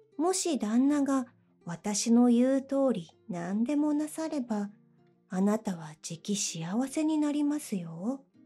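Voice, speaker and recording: A woman's high, calm, soothing voice at a very slow pace with very wide pitch swings, music in the background. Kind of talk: bedtime story reading.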